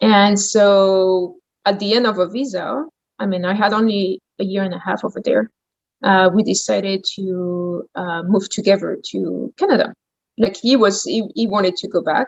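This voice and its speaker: This woman speaks with a French accent at a medium pitch. Her intonation is fairly even. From France, Champagne region. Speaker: gourmet shop owner. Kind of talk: interview.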